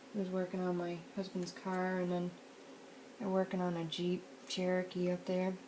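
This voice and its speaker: A quiet woman at a moderate pace, medium in pitch, relaxed in tone, with monotone, flat intonation and noticeable background noise. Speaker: crafting video maker. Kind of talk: casual crafting tutorial chat. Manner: relaxed, meandering.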